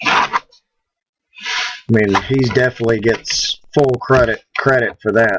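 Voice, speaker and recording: In a Southern US accent, a man speaks at medium pitch and a fairly slow pace, monotone and flat, with very even loudness, long, frequent pauses and a dry, close sound with no echo. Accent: southern twang. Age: 50s. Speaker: prop maker. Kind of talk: live stream chat. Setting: live stream.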